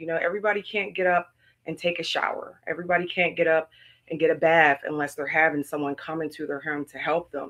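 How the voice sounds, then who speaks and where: Her voice is fairly low-pitched, with a bright, sharp tone and ordinary pitch variation. The woman speaks at a fairly quick pace over a quiet background. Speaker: business owner. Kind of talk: live stream presentation; reading aloud. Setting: live stream. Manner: halting.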